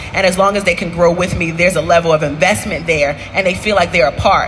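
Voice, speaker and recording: Talking at a very fast pace, a woman is heard with audible room echo and noticeable background noise. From Baltimore, Maryland, US. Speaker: entrepreneur, restaurant owner. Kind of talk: onstage interview. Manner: loud, high energy.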